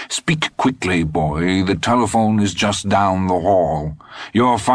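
The clip features a natural reading voice.

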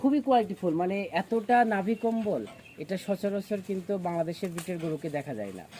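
This man's voice is high-pitched. It moves up and down in an ordinary way. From Bangladesh, Pabna district. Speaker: cattle farmer and school supervisor. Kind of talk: on-site farm video interview.

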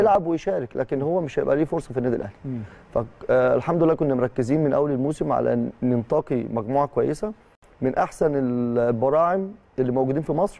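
A man with ordinary pitch variation at a fairly quick pace. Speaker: youth team football coach. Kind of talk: interview answer. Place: studio. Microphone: lapel.

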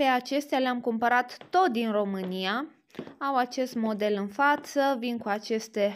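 A woman speaks at a very slow pace. Her pitch is high, with ordinary variation. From Romania. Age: 20s. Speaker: YouTuber. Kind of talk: product showcase vlog. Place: home room.

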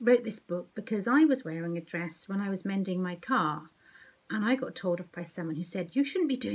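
The speaker uses plain reading aloud with lively intonation.

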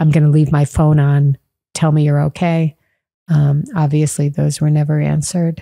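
Soft-spoken and very even in loudness, a woman with an American accent speaks at a moderate pace in a very deep, low pitch with a dark, mellow tone and monotone, flat intonation over a quiet background. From Chicago. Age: 50s. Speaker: teacher. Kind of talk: podcast interview answer. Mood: somber, restrained grief. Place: home room. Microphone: studio mic.

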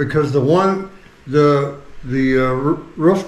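A man with an American accent, fairly high pitch and ordinary pitch variation, in audible room echo. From United States. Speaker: vlogger's husband. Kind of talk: casual chat. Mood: mildly frustrated. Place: kitchen. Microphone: phone near.

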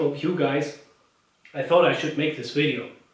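A room echo can be heard. Intonation remains fairly even throughout. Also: man. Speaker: engineer and maker channel host; maker channel host. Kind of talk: workshop tutorial narration. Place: workshop. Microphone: camera far.

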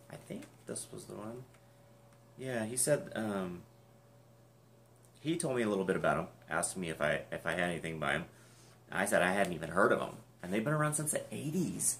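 A quiet man mumbles at a fairly quick pace, his fairly low pitch swinging very widely, with long, frequent pauses. Light background noise sits behind him. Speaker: YouTuber unboxing music collectibles. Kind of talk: casual unboxing video. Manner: mumbling. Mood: cheerful, enthusiastic. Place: home room. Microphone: webcam.

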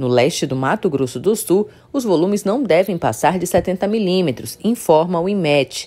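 At a moderate pace and with hardly any pauses, a woman speaks in a dark, mellow tone at a fairly low pitch, her voice swinging very widely in pitch. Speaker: news reader. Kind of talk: scripted weather report read aloud, steady and formal. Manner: formal, even-paced, neutral newsreader delivery.

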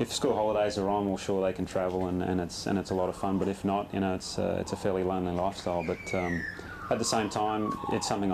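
Over noticeable background noise, a man with an Australian accent speaks very fast in a very deep, low pitch and a monotone, flat intonation. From Western Australia, Perth. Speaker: professional golfer. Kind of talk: interview. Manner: halting, many repetitions and fillers. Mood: relaxed, friendly. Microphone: lapel.

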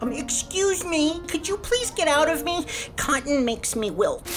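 A cartoonish character voice moves at a moderate pace. Clear background noise sits behind it. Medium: puppet show. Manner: polite but put-upon.

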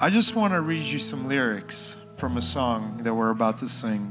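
A man at a moderate pace with clear music in the background. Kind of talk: casual address to congregation. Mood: relaxed, joking. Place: church. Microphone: handheld.

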